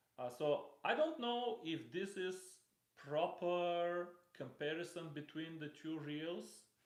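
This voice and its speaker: Very slowly and in a high voice, a man speaks with ordinary pitch variation, his words carrying audible room echo. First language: not English. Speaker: fishing reel reviewer. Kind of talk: live stream product unboxing. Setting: live stream. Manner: halting, with fillers.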